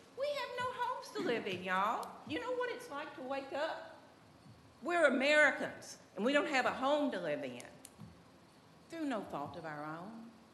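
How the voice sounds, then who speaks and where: A woman with a Southern US accent speaks at a moderate pace amid audible room echo. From Tennessee. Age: 70s. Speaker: resident speaking at public comment. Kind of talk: public comment at city meeting. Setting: city commission meeting room. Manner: emotional, folksy.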